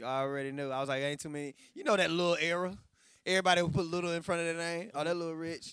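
Very fast speech with fairly even intonation, in an American accent. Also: man, high pitch for a man, very clean recording, silent background. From Texas. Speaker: clothing designer. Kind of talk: casual chat.

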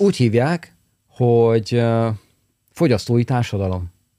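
A man speaks at a medium pitch and a very slow pace. Long, frequent pauses break his speech, and the sound is dry and close with no echo. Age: 50s. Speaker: podcast host, business consultant. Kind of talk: casual chat.

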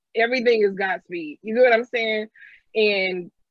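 Here is a woman with an ordinary speaking voice, pitched fairly high. She talks at a fairly quick pace with ordinary pitch variation. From St. Louis, Missouri. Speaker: high school teacher and podcast co-host. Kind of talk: casual chat.

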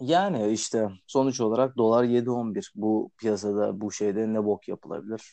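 Here is a man with a normal speaking voice. His pitch is fairly low, with ordinary pitch variation. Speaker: podcast host. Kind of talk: casual chat.

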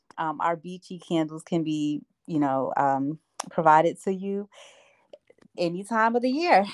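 In a normal speaking voice, a woman with an American accent talks at a fairly slow pace with lively intonation. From New Jersey (Asbury Park). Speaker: small business owner. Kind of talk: casual interview.

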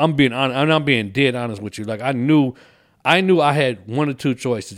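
Recorded very cleanly against a silent background, a man with an American accent has an ordinary speaking voice and ordinary pitch variation. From Illinois, Kankakee near Chicago. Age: 40s. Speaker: comedian. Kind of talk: casual chat.

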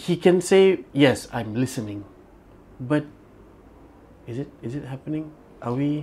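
A man with a fairly high pitch and a dark, mellow tone sounds somewhat breathy, taking long, frequent pauses while his loudness swings widely. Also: ordinary pitch variation, fairly slow pace.

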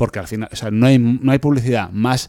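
The tone is dark and mellow, the sound dry and close with no echo, and the recording very clean over a silent background. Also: man. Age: 40s. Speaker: podcast co-host. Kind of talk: casual chat.

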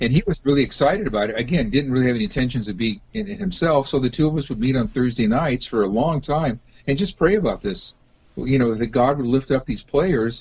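Somewhat breathy, a man rushes along at a very fast pace with lively intonation and a medium pitch. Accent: General American. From US West Coast, Los Angeles. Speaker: rock musician and pastor. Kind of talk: interview.

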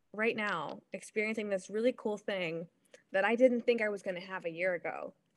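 Heard in a very clean recording with a silent background, a woman with a plain, everyday voice and an American accent speaks at a moderate pace, her fairly high pitch carrying ordinary pitch variation. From Ohio. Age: 30s. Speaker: sports broadcaster and reporter. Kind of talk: casual interview.

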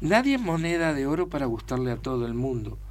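The voice belongs to a man. The room adds audible echo. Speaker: actor. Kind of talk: casual chat.

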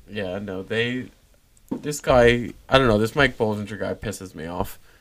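At a moderate pace, a man with a fairly low pitch speaks in an ordinary speaking voice. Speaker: sports podcast co-host. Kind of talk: casual banter.

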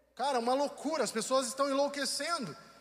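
Over audible room echo, a man with an extremely high voice talks at a fairly quick clip with fairly even intonation. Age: 40s. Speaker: pastor. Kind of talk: sermon. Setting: online livestream from church building.

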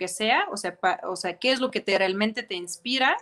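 A woman with a fairly high pitch and a bright, sharp tone speaks with lively intonation. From Ukraine. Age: young. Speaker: fashion designer and entrepreneur. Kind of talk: interview.

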